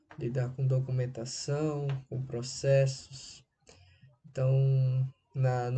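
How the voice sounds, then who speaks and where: Somewhat breathy, a man with a slight northeastern Brazilian accent speaks at a medium pitch in a dark, mellow tone with monotone, flat intonation. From Brazil, Recife, Pernambuco. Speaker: writer. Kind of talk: interview answers, monologue. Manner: halting.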